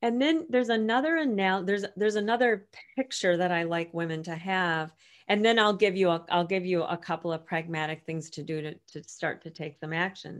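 The recording is very clean with a silent background, and an ordinary speaking voice talks at a fairly quick pace with ordinary pitch variation. Loudness swings widely throughout. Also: woman, medium pitch for a woman. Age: 50s. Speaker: author and women's coach. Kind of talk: interview.

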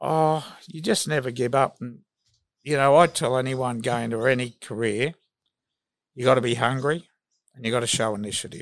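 A man with an Australian accent talks at a moderate pace and medium pitch with ordinary pitch variation. He leaves long, frequent pauses. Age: 60s. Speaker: sports journalist. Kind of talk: casual interview.

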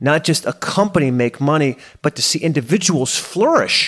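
A man with a fairly high pitch speaks in an animated tone with lively intonation, on a very clean recording with a silent background. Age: 30s. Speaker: podcast host and coach. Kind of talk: solo monologue podcast.

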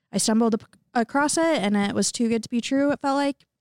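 Very fast with ordinary pitch variation, a woman's voice sounds dry and close with no echo in a very clean recording with a silent background. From US Midwest, southwest Missouri. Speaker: student ministry worker. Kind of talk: casual chat.

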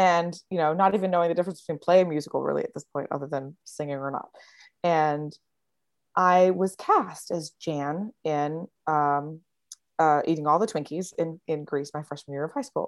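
A woman with an American accent speaks in a very deep, low voice with fairly even intonation. The sound is dry and close with no echo, over a quiet background. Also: moderate pace. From Virginia, Lynchburg. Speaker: actress and singer. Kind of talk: casual interview chat.

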